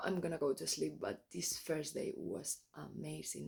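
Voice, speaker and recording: Speaking at a fairly slow pace, a woman talks with a Spanish accent. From Spain. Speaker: travel vlogger. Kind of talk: travel vlog. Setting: outdoors. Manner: halting.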